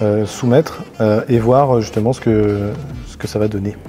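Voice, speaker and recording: Against noticeable background noise, a man speaks at a medium pitch and a fairly quick pace. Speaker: marketing automation expert. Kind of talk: software tutorial. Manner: monotone; hesitant, many fillers.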